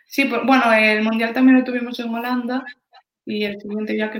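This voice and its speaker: A woman's fairly high voice in a monotone, flat intonation at a moderate pace. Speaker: lifesaving athlete. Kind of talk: interview.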